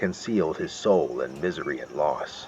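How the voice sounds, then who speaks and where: At a moderate pace, a man talks with music in the background. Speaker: narrator. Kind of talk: horror story reading.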